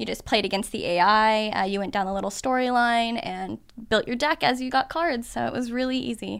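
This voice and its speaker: In a very clean recording with a silent background, a woman speaks at a fairly quick pace in a fairly high voice with ordinary pitch variation. Hers is a plain, everyday voice. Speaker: cosplayer. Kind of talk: casual chat.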